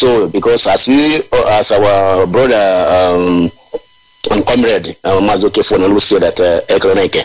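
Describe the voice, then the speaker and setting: This man has a Nigerian accent and a fairly low pitch, speaking at a fairly slow pace with ordinary pitch variation. His loudness stays very even over noticeable background noise. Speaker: activist coordinator. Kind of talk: call-in radio show. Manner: halting.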